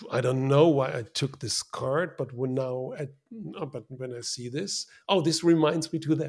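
Speaking with a German accent, a man talks at a fairly slow pace in a somewhat breathy voice with ordinary pitch variation. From Germany. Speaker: design consultant. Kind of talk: casual interview.

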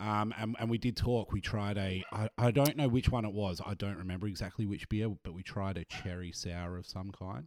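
Male speech with an Australian accent at a fairly low pitch and moderate pace, on a very clean recording with a silent background. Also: ordinary pitch variation, hardly any pauses.

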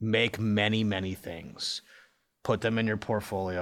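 In a Midwestern American accent, a man speaks at a fairly slow pace with a fairly low pitch and fairly even intonation. The recording is very clean, with a silent background. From US Midwest (Cincinnati, Ohio). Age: 40s. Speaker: video game design director. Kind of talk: casual interview.

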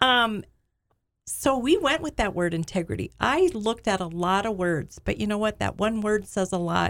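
A woman speaks at medium pitch with lively intonation and a moderate pace, in a normal speaking voice. The recording is very clean, with a silent background. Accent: American. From US Midwest, Alexandria, Minnesota. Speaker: business owner. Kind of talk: casual chat.

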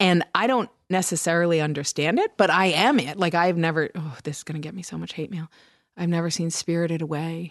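With an unremarkable speaking voice, the speaker goes at a fairly quick pace, using ordinary pitch variation against a quiet background. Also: woman, fairly low pitch for a woman. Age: 40s. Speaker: audiobook narrator and podcast co-host. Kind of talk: casual chat.

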